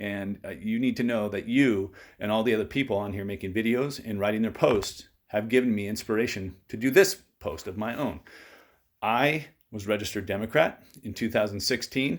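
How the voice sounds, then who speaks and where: A man with an American accent speaks at a moderate pace and a fairly low pitch. The recording is very clean, with a silent background. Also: ordinary pitch variation. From California, US. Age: 40s. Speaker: political vlogger. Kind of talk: personal testimony monologue. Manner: hesitant, many fillers and repetitions.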